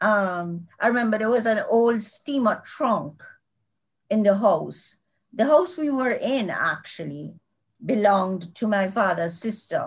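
Over a quiet background, a woman with a fairly high pitch uses lively intonation in a somewhat breathy voice. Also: fairly slow pace. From Jamaica (Kingston). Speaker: children's author. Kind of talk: interview.

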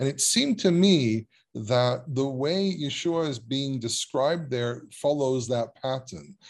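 With an Israeli accent, a man speaks at a fairly slow pace in a medium pitch, with ordinary pitch variation. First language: Hebrew. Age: 30s. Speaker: biblical scholar and Hebrew teacher. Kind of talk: casual chat. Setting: video call.

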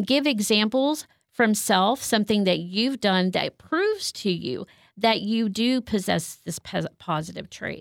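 The recording is very clean, with a silent background and a dry, close sound free of echo. A woman speaks in a fairly high voice with lively intonation. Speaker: licensed counselor. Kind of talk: casual interview. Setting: studio. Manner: loud.

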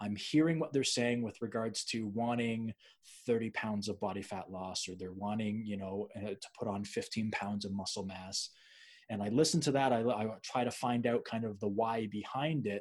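On a very clean recording with a silent background, a man with a plain, everyday voice talks at a moderate pace and fairly low pitch, with ordinary pitch variation. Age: 30s. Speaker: podcast host, personal trainer. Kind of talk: interview conversation.

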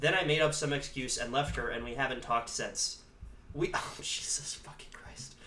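A man's playful tone at a moderate pace, with big swings in loudness and noticeable background noise. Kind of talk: casual chat. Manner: joking, playful.

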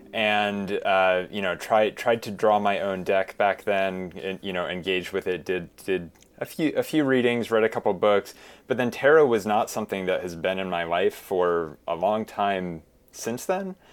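A man with a fairly low pitch and ordinary pitch variation talks at a moderate pace in a normal speaking voice. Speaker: tarot deck creator; designer. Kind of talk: casual interview.

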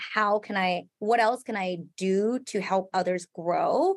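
On a very clean recording with a silent background, a woman speaks with a Thai accent. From Thailand. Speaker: salon owner and entrepreneur. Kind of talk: casual interview.

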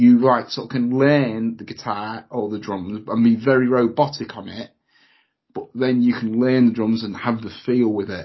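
A man with a British accent speaks at a moderate pace and medium pitch. His intonation stays fairly even while his loudness swings widely. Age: 40s. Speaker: podcast host. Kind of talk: casual chat.

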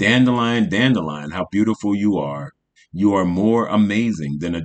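Quiet background, lively intonation, and reading aloud in a natural voice

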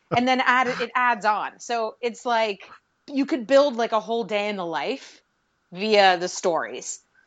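A woman talks at a fairly slow pace in an unremarkable speaking voice with a fairly high pitch. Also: ordinary pitch variation. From Pittsburgh, Pennsylvania, US. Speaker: podcast host and social media guest. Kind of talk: casual interview.

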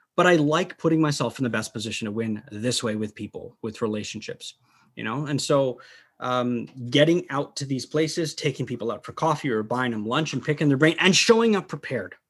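In an American accent, a man uses an ordinary speaking voice with a fairly high pitch, a fairly quick pace and lively intonation, on a very clean recording with a silent background. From Dubai, then US. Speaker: hunter. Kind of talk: casual chat.

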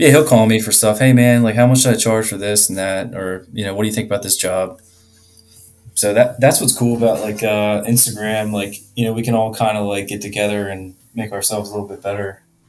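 Over music in the background, a man with a fairly low pitch talks at a fairly quick pace with fairly even intonation. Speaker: HVAC contractor. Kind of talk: casual chat.

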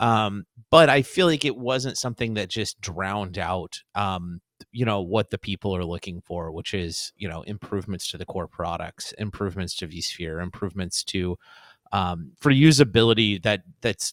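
Heard on a very clean recording with a silent background and a dry, close sound with no echo, a normal speaking voice moves at a moderate pace with ordinary pitch variation. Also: man, fairly low pitch for a man. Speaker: podcast co-host. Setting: studio.

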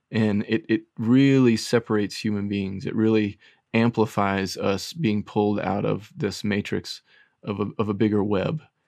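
This is an ordinary speaking voice at a moderate pace. The intonation is fairly even. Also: man, fairly low pitch for a man. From US South. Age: 30s. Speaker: therapist. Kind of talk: casual interview.

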